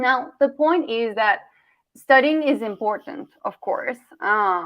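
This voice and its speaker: Lively intonation marks this voice with a Colombian accent. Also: woman. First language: Spanish. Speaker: communication coach. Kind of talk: workshop presentation.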